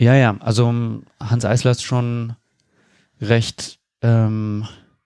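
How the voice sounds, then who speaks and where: At a very slow pace, a man speaks at a medium pitch with a dark, mellow tone and fairly even intonation, in a dry, close sound with no echo on a very clean recording with a silent background. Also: long, frequent pauses, very even loudness. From Berlin, Germany. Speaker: improv theatre musician. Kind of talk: interview conversation.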